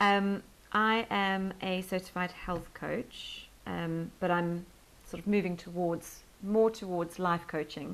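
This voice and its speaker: Very slow speech in a South African accent with fairly even intonation. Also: woman, medium pitch for a woman. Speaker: health and life coach. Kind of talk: interview podcast. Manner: hesitant, many fillers.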